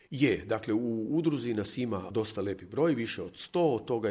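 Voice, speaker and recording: A fairly quick pace with ordinary pitch variation. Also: man. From Croatia, Hrvatsko zagorje (near Lobor, Golubovec). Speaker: communication scientist. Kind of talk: radio interview chat.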